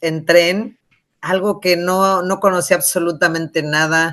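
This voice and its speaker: Against a quiet background, a woman talks at a fairly slow pace in a medium pitch. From Mexico City, raised from age six (born Michoacán). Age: 60s. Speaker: author. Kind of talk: interview. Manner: animated.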